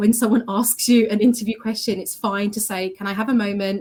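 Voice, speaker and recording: The intonation is fairly even. The voice sounds somewhat breathy. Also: woman. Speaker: graduate recruitment team member. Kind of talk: webinar panel talk. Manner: fast.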